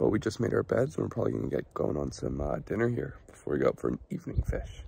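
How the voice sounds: Fast and full of big pitch swings, a man speaks at an extremely low pitch. His dark, mellow tone carries vocal fry.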